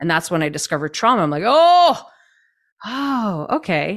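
An unremarkable speaking voice from a woman with a Canadian accent, lively in intonation, at a moderate pace, on a very clean recording with a silent background. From Canada. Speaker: trauma-informed movement coach. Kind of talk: interview conversation.

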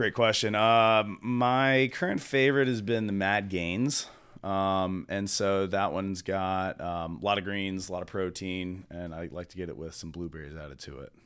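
A man with an American accent and a plain, everyday voice talks at a moderate pace and fairly low pitch, showing ordinary pitch variation and big swings in loudness. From US South, Charlotte, North Carolina. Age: 30s. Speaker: juice company founder. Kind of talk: casual interview. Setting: studio.

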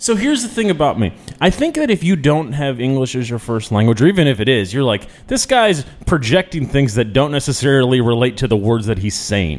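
Lively intonation marks a man's talking at a medium pitch. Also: fairly quick pace. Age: 30s. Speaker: radio host and managing editor. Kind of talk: casual chat. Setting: studio. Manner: loud at odd intervals.

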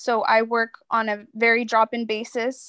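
The recording is dry and close with no echo, set against a quiet background. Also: woman. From Mexico (Leon, Guanajuato), raised in US. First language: Spanish. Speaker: college student program advisor. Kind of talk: casual interview.

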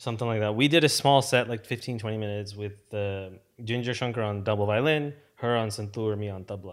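Talking at a very fast pace, a man with an American accent uses a fairly low pitch and ordinary pitch variation. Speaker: podcast host and musician. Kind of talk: casual chat. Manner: casual, filler-heavy.

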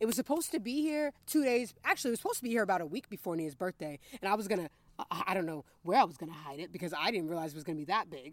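A woman talks at a very fast pace with a medium pitch. Her voice makes very wide pitch swings. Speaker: podcast co-host. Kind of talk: casual chat.

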